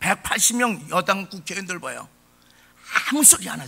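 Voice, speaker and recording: Pitching his voice high, a man talks at a medium tempo while his pitch swings very widely up and down. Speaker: pastor. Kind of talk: sermon. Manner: impassioned.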